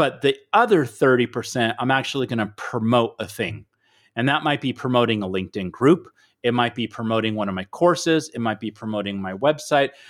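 On a very clean recording with a silent background, a man speaks with a plain, everyday voice. His pitch is medium, his pitch variation ordinary, and his pace fairly quick. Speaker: author and speaker. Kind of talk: casual interview chat.

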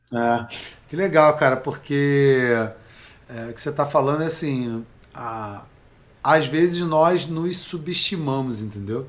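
A man with a fairly high pitch and ordinary pitch variation talks at a fairly slow pace, his loudness swinging widely between long, frequent pauses. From Brazil, Rio de Janeiro (Baixada Fluminense). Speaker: life coach. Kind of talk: casual interview chat.

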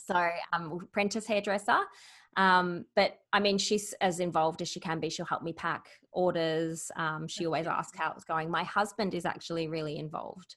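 A speaker with an Australian accent talks at a moderate pace. The intonation stays fairly even over a quiet background. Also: woman, fairly low pitch for a woman. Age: 40s. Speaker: business founder. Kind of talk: interview.

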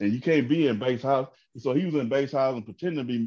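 With a Southern US accent, a man talks at a very fast pace. His tone is dark and mellow. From Georgia, US South. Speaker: comedian. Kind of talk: casual chat. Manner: animated.

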